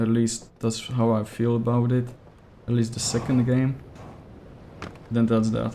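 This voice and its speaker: A monotone, flat voice with a Czech accent, at a fairly slow pace with long, frequent pauses and very even loudness. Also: man, medium pitch for a man. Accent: non-native English, Czech. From Czech Republic. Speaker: gaming streamer. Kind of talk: live gameplay commentary. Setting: livestream. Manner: casual, hesitant with fillers.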